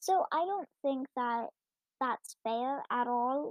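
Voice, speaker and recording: A woman speaks quietly with a high pitch and lively intonation. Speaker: podcaster reading and rating online stories. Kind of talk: reading aloud with commentary. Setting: home recording, early morning with family asleep. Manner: quiet, trying to talk louder.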